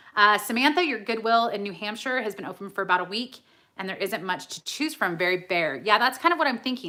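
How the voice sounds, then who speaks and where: Speaking at a very fast pace, a woman with a medium pitch and a bright, sharp tone keeps her intonation lively on a very clean recording with a silent background. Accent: American. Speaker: reseller YouTuber. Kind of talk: live Q&A stream. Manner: casual, chatty.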